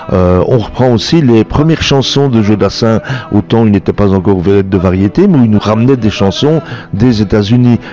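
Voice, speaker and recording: Over music in the background, a man talks at a moderate pace with a fairly low pitch and lively intonation. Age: 60s. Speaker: singer-guitarist. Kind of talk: interview.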